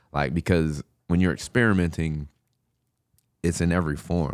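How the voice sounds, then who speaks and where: On a very clean recording with a silent background, a man with an American accent talks at a moderate pace with ordinary pitch variation. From Southern Illinois, US. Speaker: hip hop artist. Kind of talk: casual chat.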